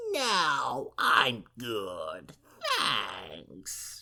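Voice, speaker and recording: A man's put-on character voice at medium pitch. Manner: snide, snotty, dismissive.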